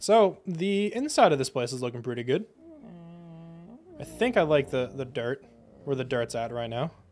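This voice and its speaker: A man speaks at a moderate pace and a medium pitch, his intonation lively. He leaves long, frequent pauses while music plays in the background. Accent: American. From United States. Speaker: gaming livestreamer. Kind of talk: casual live stream chat while gaming. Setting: live stream.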